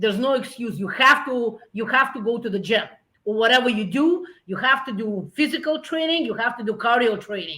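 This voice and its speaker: This woman talks at a fairly quick pace with a Russian accent. Her tone is bright and sharp, and her intonation is lively. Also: fairly high pitch for a woman. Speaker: business founder. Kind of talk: interview. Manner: halting.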